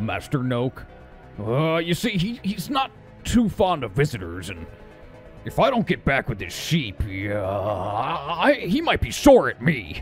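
Putting on a character voice at medium pitch, a man speaks at a fairly slow pace as clear music plays in the background. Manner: menacing but mock-polite.

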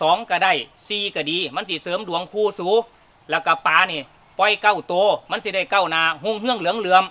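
Using a raised, projected voice, a man speaks with fairly even intonation. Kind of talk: scripted comedic dialogue in regional dialect. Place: open country.

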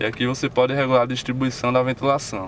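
He speaks rather briskly. The voice belongs to a man. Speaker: car reviewer. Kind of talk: car review video. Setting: in a car.

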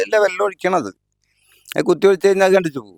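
A man's high-pitched voice with a dry, close sound and no echo. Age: 60s. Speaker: farmer. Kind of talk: interview. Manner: halting.

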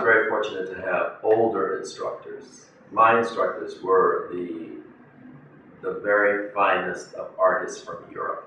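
A man with an American accent talks at a fairly slow pace, with big swings in loudness. Audible room echo and light background noise are present. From South Carolina, USA. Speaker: painter. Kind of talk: interview answer. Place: home room.

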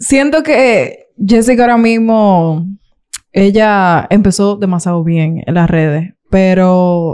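A woman with a Dominican accent speaks at a medium pitch in a dark, mellow tone, with ordinary pitch variation and a quiet background. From Santo Domingo, Dominican Republic; Dominican Republic. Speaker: YouTuber; interview guest, content creator. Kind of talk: interview. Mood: candid, somewhat aggrieved at times. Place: studio. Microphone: studio mic.

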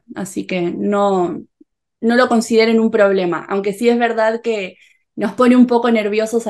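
Against a quiet background, a woman talks at a moderate pace with a Rioplatense accent. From Rioplatense region (Argentina/Uruguay). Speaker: Spanish teacher youtuber; interviewer, Spanish teacher. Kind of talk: interview. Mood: warm, friendly. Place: home room. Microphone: video call.

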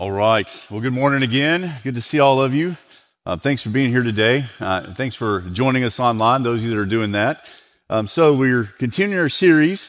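Over a quiet background, the man talks at a moderate pace. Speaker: lead pastor. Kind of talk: sermon. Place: church. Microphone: headset.

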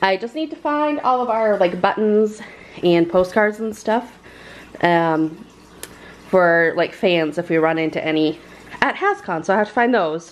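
A woman's fairly slow, lively-intoned speech broken by long, frequent pauses. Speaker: family vlogger. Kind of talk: casual vlog chat. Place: home room. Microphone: phone near.

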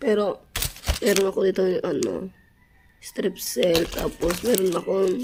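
Over noticeable background noise, a woman talks at a fairly slow pace with medium pitch. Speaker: vlogger. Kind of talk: casual vlog talk.

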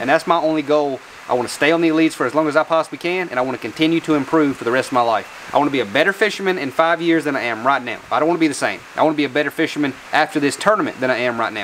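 A man at a very fast pace with hardly any pauses, ordinary pitch variation and light background noise. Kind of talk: casual vlog chat. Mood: reflective, earnest. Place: garage. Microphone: lapel.

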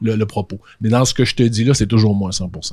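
Over a quiet background, a man speaks at a very fast pace in an animated tone. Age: 40s. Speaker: podcaster and social media influencer; podcaster, social media influencer. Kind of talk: casual conversation. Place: studio. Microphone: handheld.

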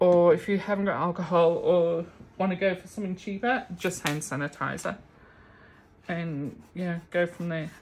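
A woman speaks at a fairly low pitch and a moderate pace. Her intonation is fairly even, with light background noise. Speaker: craft video creator. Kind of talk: casual tutorial. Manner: laughing often. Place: home room. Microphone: phone near.

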